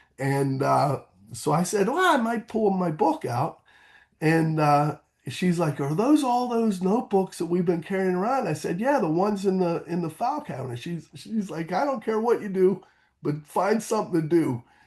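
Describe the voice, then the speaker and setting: An American accent with very wide pitch swings. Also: man, high pitch for a man, moderate pace. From Pittsburgh, Pennsylvania, US. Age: 50s. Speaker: author. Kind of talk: interview. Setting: podcast.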